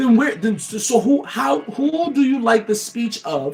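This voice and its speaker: Loud and animated in tone, a man speaks with lively intonation at a moderate pace. Noticeable background noise is present. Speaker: motivational livestreamer. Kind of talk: motivational talk. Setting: livestream.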